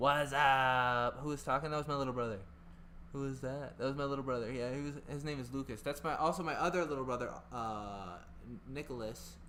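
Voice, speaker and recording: Audible room echo and a man's bright, sharp tone at a fairly quick pace, with ordinary pitch variation. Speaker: gaming streamer. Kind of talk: live stream chat. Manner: flustered, rambling.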